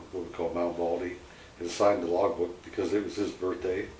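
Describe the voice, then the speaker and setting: Echo from the room can be clearly heard around this man's speech. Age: 70s. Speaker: tragedy survivor. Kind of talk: personal testimony. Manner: halting, many fillers.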